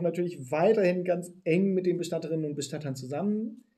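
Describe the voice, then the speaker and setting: A man speaks with a high pitch and fairly even intonation. His tone is dark and mellow. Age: 40s. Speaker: funeral startup founder. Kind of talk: interview.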